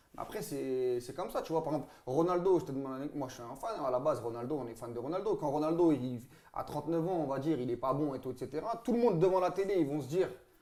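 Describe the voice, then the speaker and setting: Talking very fast with lively intonation, a man with a fairly high voice is heard over noticeable background noise. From France, Saint-Denis (Paris suburbs). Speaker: football pundit. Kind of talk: casual chat. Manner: loud; animated.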